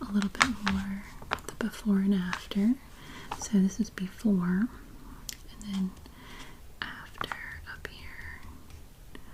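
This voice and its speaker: Over noticeable background noise, the whispering creeps along very slowly, broken by long, frequent pauses. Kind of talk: ASMR magazine look-through. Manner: soft-spoken with some whispering.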